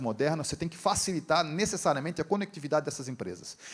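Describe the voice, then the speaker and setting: This man talks at a very fast pace. His pitch is fairly high, with ordinary pitch variation. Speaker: engineering professor and industry training director. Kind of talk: conference lecture. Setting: stage with audience, live interpreter. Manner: casual, conversational.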